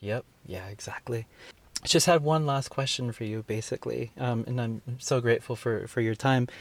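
In an American accent, a man speaks fairly quickly at a medium pitch. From San Francisco Bay Area, California. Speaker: podcast host and writer. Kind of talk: interview. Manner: halting, many fillers.

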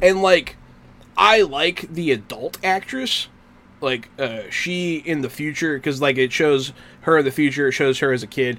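In a plain, everyday voice, a man speaks at a fairly slow pace with a fairly high pitch and ordinary pitch variation. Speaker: podcast host. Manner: laid-back, casual.

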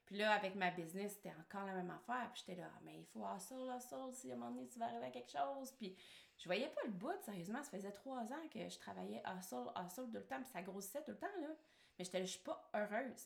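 Over noticeable background noise, a woman talks very fast at a medium pitch, her pitch swinging very widely. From Quebec. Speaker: marketing strategist and online entrepreneur. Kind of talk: casual interview chat.

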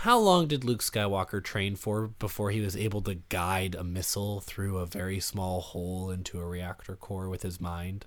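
In a very clean recording with a silent background, a man with an unremarkable speaking voice and fairly low pitch talks at a moderate pace. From Canada. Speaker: podcaster, film discussion guest. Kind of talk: casual chat.

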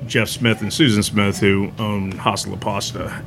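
A man with a Texan accent speaks at a moderate pace and a fairly low pitch in a monotone, flat delivery, with audible room echo and noticeable background noise. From Texas, Katy. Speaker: barbecue restaurant owner. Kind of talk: casual interview. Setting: at his restaurant.

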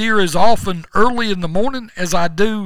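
In a Southern US accent, a man projects a raised voice, high in pitch with a bright, sharp tone. His intonation is lively while his pace stays fairly slow. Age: 60s. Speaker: podcast host. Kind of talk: casual chat.

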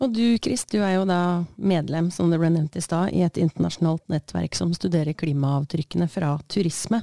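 At a moderate pace, a woman with a fairly low pitch, ordinary pitch variation and a dark, mellow tone keeps her loudness very even, in dry, close sound with no echo. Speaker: podcast host. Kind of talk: interview.

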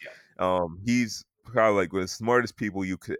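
A man with an American accent is heard in a very clean recording with a silent background and a dry, close sound with no echo. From US South. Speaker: sports podcast host. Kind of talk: casual chat.

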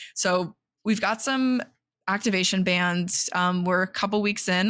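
In an American accent, a woman speaks at medium pitch with a bright, sharp tone. Her intonation is fairly even, and the recording is very clean with a silent background. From Indiana, US Midwest. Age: 20s. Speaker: podcast co-host. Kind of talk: casual chat.

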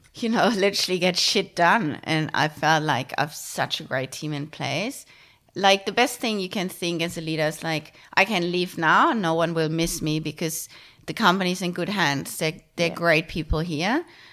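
A woman with a German accent and a bright, sharp tone speaks at a fairly low pitch and a moderate pace with ordinary pitch variation, on a very clean recording with a silent background. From Germany. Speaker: retail tech co-founder. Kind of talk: interview. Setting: in person at home.

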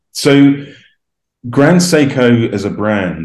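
Audible room echo hangs around the recording. In it, a man talks with lively intonation. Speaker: watch collector. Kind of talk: casual interview.

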